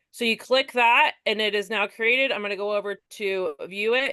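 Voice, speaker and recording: At a fairly quick pace, a woman with a fairly high pitch and a bright, sharp tone speaks with ordinary pitch variation, in a dry, close sound with no echo. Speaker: direct sales consultant. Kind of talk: tutorial. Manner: fast.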